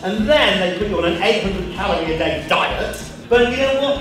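Lively intonation marks this man's speech. Strong room echo and noticeable background noise surround him. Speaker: TV presenter and awards host. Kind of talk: after-dinner speech with humorous anecdotes. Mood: humorous storytelling. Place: hall.

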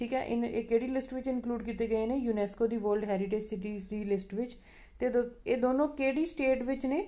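A woman at a fairly quick pace with few pauses, fairly high pitch, a dark, mellow tone and ordinary pitch variation

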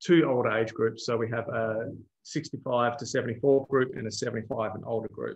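Against a quiet background, a man with an Australian accent speaks at a moderate pace in a somewhat breathy voice of medium pitch. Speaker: road safety researcher; presenter. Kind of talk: webinar presentation. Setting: video call. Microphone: video call.

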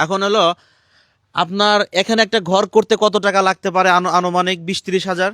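A man's high-pitched voice, bright and sharp in tone, flat and monotone, on a very clean recording with a silent background. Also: dry, close sound with no echo. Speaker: charity vlogger. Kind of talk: on-location charity video interview.

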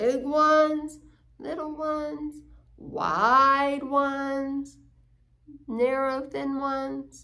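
A woman's high-pitched voice with a bright, sharp tone, fairly even intonation and a very slow pace

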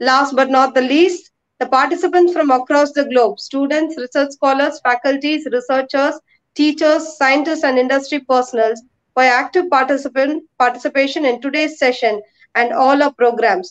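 A woman with a high pitch, fairly even intonation and very even loudness, at a moderate pace against a quiet background. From India. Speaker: research dean. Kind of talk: vote of thanks. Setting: video call. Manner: formal. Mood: polite, formal. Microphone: webcam.

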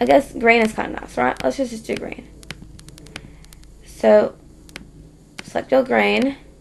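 A woman talks at a fairly slow pace with long, frequent pauses. Noticeable background noise runs underneath. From Australia. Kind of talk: software tutorial narration. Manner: casual, hesitant.

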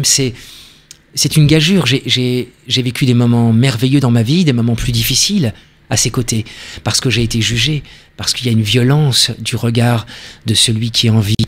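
A man speaks at a moderate pace and medium pitch. His intonation stays fairly even. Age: 50s. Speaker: actor and stage director. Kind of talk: interview.

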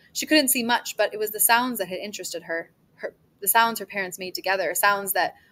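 The text is read aloud in a natural voice whose pitch varies in an ordinary way.

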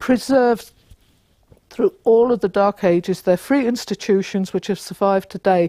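Against a quiet background and with a dry sound and no echo, a woman speaks at a moderate pace in a dark, mellow tone with ordinary pitch variation. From London. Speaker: author and local historian. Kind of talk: mythic history narration, solemn storytelling of ancient tribes and the massacre. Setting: talk to a live audience. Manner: earnest, reverent, measured; passionate, rousing. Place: classroom.

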